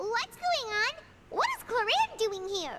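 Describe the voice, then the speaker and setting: An extremely high, squeaky put-on character voice moves at a fairly slow pace over loud background noise. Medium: video game.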